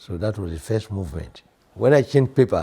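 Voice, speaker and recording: A man with a Nigerian accent talks at a fairly quick pace and fairly low pitch, with lively intonation. His voice has a dark, mellow tone and is somewhat breathy. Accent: Nigerian (Yoruba) English. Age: 80s+. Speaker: composer and organist. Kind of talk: interview.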